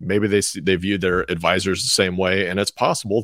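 This man's voice is very deep and low, delivered at a moderate pace. The sound is dry and close with no echo, on a very clean recording with a silent background. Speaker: financial advisor and co-host. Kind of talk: casual chat.

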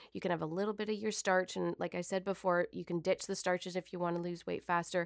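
An unremarkable speaking voice with fairly even intonation, in a very clean recording over a silent background. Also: woman. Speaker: nutritionist. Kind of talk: radio interview. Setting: studio.

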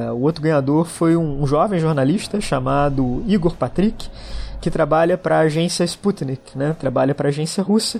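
With lively intonation and a moderate pace, a man speaks in a normal speaking voice. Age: 40s. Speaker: international relations professor. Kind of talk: interview about a trip.

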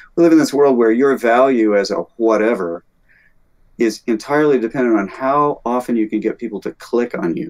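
With an American accent, a man in a normal speaking voice talks at a fairly quick pace, his pitch medium and his pitch variation ordinary. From US South, Alabama. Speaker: composer and music teacher. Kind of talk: casual chat.

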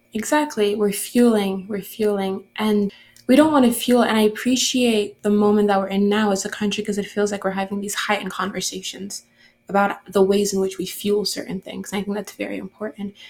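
A somewhat breathy woman's voice at medium pitch, fairly quick in pace, with fairly even intonation. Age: young. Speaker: podcast host. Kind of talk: interview.

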